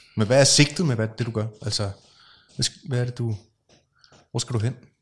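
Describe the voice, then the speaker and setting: Somewhat breathy, a man talks at a moderate pace and medium pitch with ordinary pitch variation and long, frequent pauses. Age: 40s. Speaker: podcast host. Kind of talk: casual interview conversation. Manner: hesitant, many fillers.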